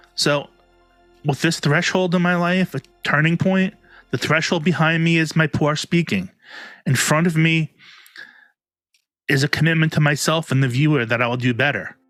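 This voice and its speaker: This man has a fairly high pitch and ordinary pitch variation, keeping a moderate pace broken by long, frequent pauses. His loudness is very even, and the sound is dry and close with no echo. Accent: strong New York. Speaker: self-help youtuber. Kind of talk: vlog monologue. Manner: slurred enunciation.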